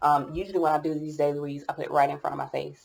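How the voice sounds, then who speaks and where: A woman mumbles as she speaks. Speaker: tarot reader. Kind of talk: tarot reading. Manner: mumbling.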